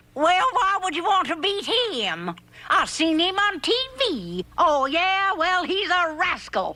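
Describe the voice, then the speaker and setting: A cartoonish character voice, female-sounding and extremely high-pitched. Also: fairly slow pace. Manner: folksy old-lady.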